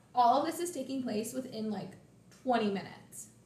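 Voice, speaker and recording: A high-pitched woman talks at a fairly quick pace, with noticeable background noise and audible room echo. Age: 20s. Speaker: podcast co-host. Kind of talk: casual chat.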